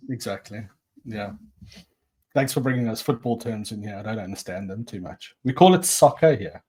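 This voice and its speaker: His voice is somewhat breathy, with a dark, mellow tone and big swings in loudness. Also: medium pitch for a man, ordinary pitch variation, moderate pace. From South Africa. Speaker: podcast host. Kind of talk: casual podcast chat. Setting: podcast recording.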